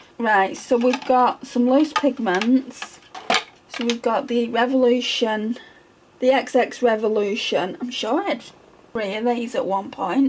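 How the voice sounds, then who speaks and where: Someone with a British accent speaks at a fairly slow pace with ordinary pitch variation over noticeable background noise. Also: woman, high pitch for a woman. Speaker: beauty ASMR creator. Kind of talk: ASMR makeup collection talk. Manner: whispered, soft-spoken.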